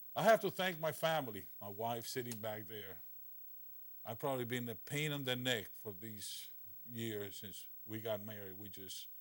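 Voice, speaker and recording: A man with a Spanish accent at a medium pitch and moderate pace, ordinary pitch variation, and big swings in loudness. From Cuba. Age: 60s. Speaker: orthopedic surgeon. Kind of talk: lecture.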